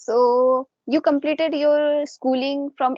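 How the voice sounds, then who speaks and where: The speaker talks with fairly even intonation in an Indian accent. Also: woman. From India, Jharkhand (Dhanbad). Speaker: English learner and YouTuber. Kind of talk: casual chat.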